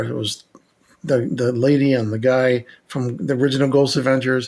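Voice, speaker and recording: This is a normal speaking voice at a moderate pace with fairly even intonation. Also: man. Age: 60s. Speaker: electronic engineer and paranormal investigator. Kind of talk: casual podcast conversation.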